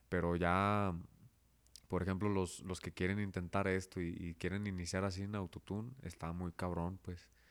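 A man speaks at a very deep, low pitch. His intonation is flat and monotone, and his pace moderate. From Guadalajara area, Mexico (Zapopan). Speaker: rapper and dentist. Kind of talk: casual interview.

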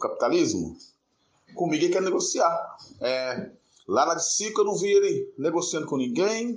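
Speaking at a moderate pace, a man's voice comes with audible room echo. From Brazil, interior of Minas Gerais (Governador Valadares). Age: 40s. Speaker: construction foreman. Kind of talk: personal testimony.

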